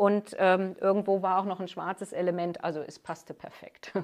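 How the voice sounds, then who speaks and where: In a plain, everyday voice, a woman talks at a medium pitch. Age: 50s. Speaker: master hearing aid acoustician, business owner. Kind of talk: interview. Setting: her shop.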